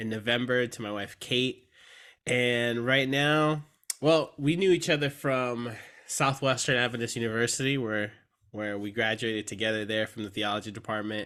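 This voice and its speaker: In an American accent, a man speaks at a medium pitch with a bright, sharp tone on a very clean recording with a silent background. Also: ordinary pitch variation, moderate pace. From San Antonio, Texas. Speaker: seminary student, former pastor. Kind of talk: casual conversational interview. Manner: hesitant, many fillers.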